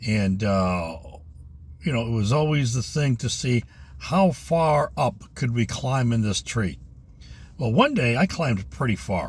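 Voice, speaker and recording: At a fairly slow pace, a man of medium pitch speaks somewhat breathily with very wide pitch swings. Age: 60s. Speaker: retired vlogger. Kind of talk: casual vlog monologue. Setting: in a parked car. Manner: halting, many fillers.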